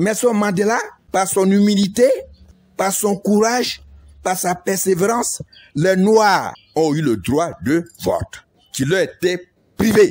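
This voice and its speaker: In a very clean recording with a silent background, a man with a high pitch and ordinary pitch variation speaks at a very slow pace with long, frequent pauses. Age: 60s. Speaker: retired civil servant and former village chief. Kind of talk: political appeal.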